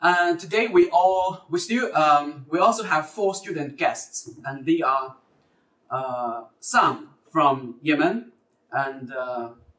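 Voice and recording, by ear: A man with a fairly high pitch and a fairly bright tone, lively intonation, a slow pace and audible room echo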